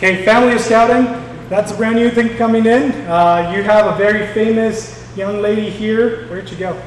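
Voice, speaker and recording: Amid noticeable background noise and audible room echo, a man with a high voice speaks at a moderate pace with fairly even intonation. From war-torn country abroad. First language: not English. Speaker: scouting council executive. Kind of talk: town hall speech.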